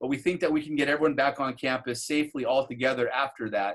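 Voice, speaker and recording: A fairly quick delivery from a man with a fairly high pitch. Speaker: school principal. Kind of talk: online parent Q&A meeting. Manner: fast.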